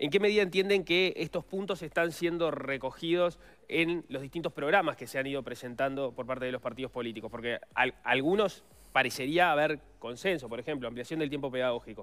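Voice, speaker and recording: A man with a Rioplatense accent speaks at a fairly quick pace in a fairly high pitch with ordinary pitch variation. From Uruguay. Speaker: radio host. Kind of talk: interview. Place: studio.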